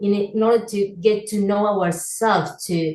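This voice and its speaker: Ordinary pitch variation with a non-native accent. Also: woman. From Argentina. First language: Spanish. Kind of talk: interview. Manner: halting.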